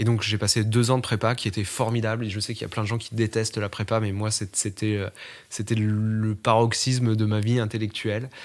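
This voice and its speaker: On a very clean recording with a silent background, a man speaks at a fairly quick pace and fairly low pitch with monotone, flat intonation. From eastern France. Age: 20s. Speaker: journalist interviewee. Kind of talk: interview testimony. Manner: hesitant, many fillers.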